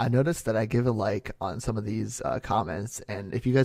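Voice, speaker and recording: A man talks at a medium pitch with vocal fry. His pitch variation is ordinary. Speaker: ASMR creator / YouTuber. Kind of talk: casual talk to camera, Q&A. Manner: soft-spoken, relaxed.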